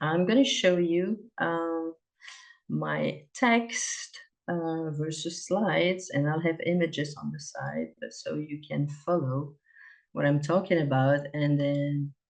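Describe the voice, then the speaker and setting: A woman with a French accent speaks at a very slow pace, her pitch very deep and low with ordinary pitch variation. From Belgium, Liège (French-speaking). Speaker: cross-cultural consultant, presenter. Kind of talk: presentation.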